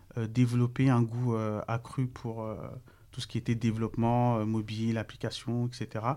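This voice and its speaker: On a very clean recording with a silent background, a man with a dark, mellow tone and medium pitch talks at a moderate pace. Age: 30s. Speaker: digital agency founder. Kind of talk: interview.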